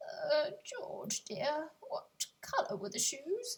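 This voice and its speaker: A put-on character voice with a high pitch goes along at a very slow pace. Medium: read story. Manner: gentle, concerned.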